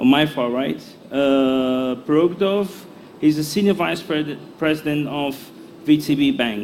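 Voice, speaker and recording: A man with a fairly high voice speaks at a fairly slow pace and with ordinary pitch variation, with noticeable background noise and an audible room echo. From Brazil. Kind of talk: panel introduction. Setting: conference hall with audience. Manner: halting, many fillers.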